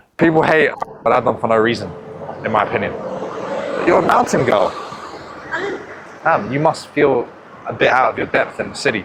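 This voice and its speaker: A man with a fairly high pitch speaks at a fairly quick pace, with ordinary pitch variation and long, frequent pauses, over noticeable background noise. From London, of Bosnian family. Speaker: dating coach. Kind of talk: casual flirting street conversation.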